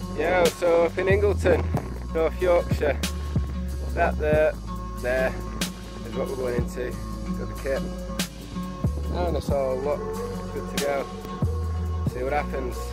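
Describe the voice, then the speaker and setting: Loud music plays behind a man who speaks at a fairly slow pace with long, frequent pauses. The sound itself is dry with no echo. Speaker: caving vlogger. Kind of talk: casual vlog chat. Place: open country. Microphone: phone near.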